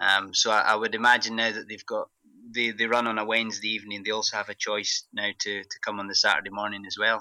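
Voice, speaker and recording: A man with a strong Scottish accent, fairly low in pitch and bright, sharp in tone, at a very fast pace with monotone, flat intonation, in a dry, close sound with no echo. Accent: thick Scottish. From Scotland, Glasgow. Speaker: pharmacist, running group organiser. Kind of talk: interview. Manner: halting, many fillers.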